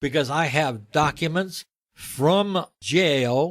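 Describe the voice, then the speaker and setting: The pitch swings very widely. The recording is very clean, with a silent background. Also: man. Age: 70s. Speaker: tax protest activist. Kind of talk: interview.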